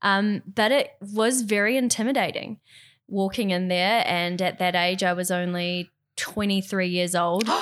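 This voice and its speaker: Speaking at a fairly slow pace in a New Zealand accent, a woman keeps a medium pitch, fairly even intonation and very even loudness. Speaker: yachting industry worker. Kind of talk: casual chat.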